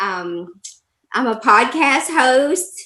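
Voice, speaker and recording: Her voice has a bright, sharp tone and lively intonation as this woman speaks with an American accent. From Alabama, US South (Birmingham). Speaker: life coach. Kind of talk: interview.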